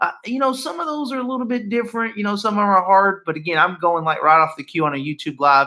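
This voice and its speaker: A man's high, raised, projected voice with a bright, sharp tone, very wide pitch swings, a very fast pace and hardly any pauses. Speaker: high school math teacher. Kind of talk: lecture. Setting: live stream from home. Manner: casual, halting with fillers.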